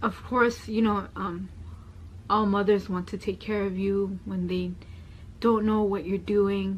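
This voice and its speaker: A soft-spoken woman talks at a fairly slow pace. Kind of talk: testimony. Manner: soft-spoken, quieter.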